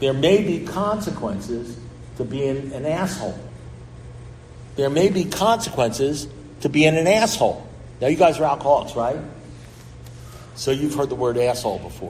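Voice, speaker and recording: In a New York accent, a man with a fairly high pitch talks at a moderate pace with lively intonation and long, frequent pauses, and audible room echo. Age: 70s. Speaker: recovery speaker. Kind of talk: recovery talk. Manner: blunt, animated.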